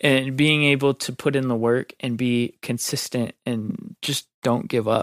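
A man's medium-pitched voice at a fairly slow pace, dry and close with no echo. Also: ordinary pitch variation, hardly any pauses. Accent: Midwestern American. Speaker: video editor. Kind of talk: casual interview. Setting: studio.

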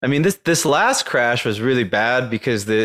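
A man with a normal speaking voice at medium pitch uses lively intonation, recorded very cleanly against a silent background with a dry, close sound and no echo. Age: 30s. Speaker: crypto investor. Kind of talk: casual chat.

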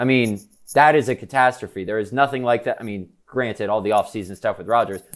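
An ordinary speaking voice, a man at a medium pitch with ordinary pitch variation and a fairly quick pace. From New York City / Connecticut area. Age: 20s. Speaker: sports reporter and podcast host. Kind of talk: casual chat. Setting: stadium press box.

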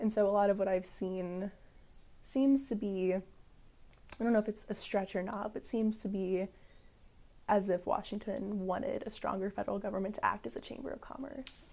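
A woman speaks with a Midwestern US accent. Her tone is dark and mellow at a medium pitch. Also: ordinary pitch variation, moderate pace. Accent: US Midwest. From St. Louis, Missouri. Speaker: history PhD student. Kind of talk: interview.

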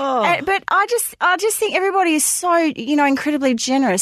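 A woman speaks with an Australian accent. The sound is dry and close with no echo, over a quiet background. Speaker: podcast co-host. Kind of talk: casual chat. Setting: studio.

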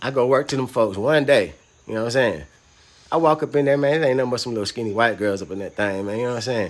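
Using an American accent, a man talks at a very fast pace. His medium pitch has ordinary variation. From US South, Atlanta (west side). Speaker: former prisoner sharing his story. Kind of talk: casual interview, personal testimony.

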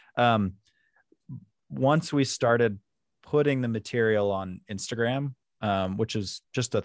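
A man speaks at a fairly slow pace in a dry, close sound with no echo and a quiet background. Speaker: university outreach and marketing staff, archive manager. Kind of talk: casual interview chat. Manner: good conversational cadence.

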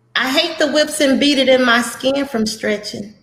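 In a raised, projected voice, a woman with a Texas accent speaks in a high pitch and a bright, sharp tone. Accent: Southern US (Texas). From Texas (Beaumont). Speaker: poet, blind community advocate. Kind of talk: casual chat. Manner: animated.

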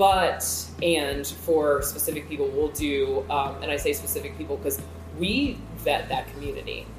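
Noticeable background noise behind a woman with an American accent. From Maryland, Calvert County. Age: 30s. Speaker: business coach. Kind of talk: casual interview chat.

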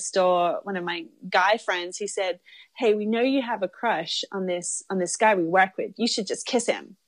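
In an Australian accent, this speaker talks at a moderate pace with ordinary pitch variation over a quiet background. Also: woman. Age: 30s. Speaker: documentary filmmaker. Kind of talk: casual interview.

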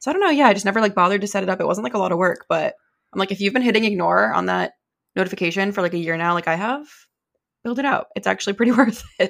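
On a very clean recording with a silent background, a woman talks very fast at medium pitch, with ordinary pitch variation and vocal fry. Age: 20s. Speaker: podcast co-host. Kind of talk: casual chat.

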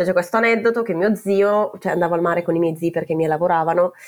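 This woman talks very fast. Her intonation remains fairly even. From northern Italy, Val Camonica (Brescia). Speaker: PhD student, expat. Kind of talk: personal storytelling. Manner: halting, many fillers.

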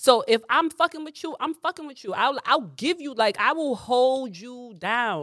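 A woman talks at a moderate pace with hardly any pauses, her pitch high. Her tone is animated, her intonation lively, and her loudness swings widely. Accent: New York. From New York, the Bronx. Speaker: comedian. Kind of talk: casual chat.

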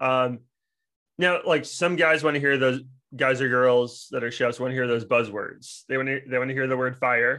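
A plain, everyday voice from a man, medium in pitch with fairly even intonation, over a quiet background. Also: moderate pace. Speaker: podcast co-host. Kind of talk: casual podcast chat.

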